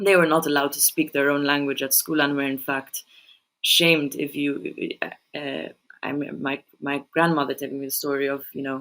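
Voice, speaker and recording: A woman with a very deep, low voice speaks at a moderate pace in a flat monotone. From Malta. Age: young. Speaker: poet and journalist. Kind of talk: podcast interview. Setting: remote recording. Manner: halting, many repetitions.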